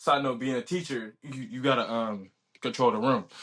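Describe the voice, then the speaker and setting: At a fairly quick pace, a man speaks in a medium-pitched voice with a bright, sharp tone over a quiet background. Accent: American. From Virginia, Newport News. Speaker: college football player and student athlete. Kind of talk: casual interview. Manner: casual, many fillers and restarts.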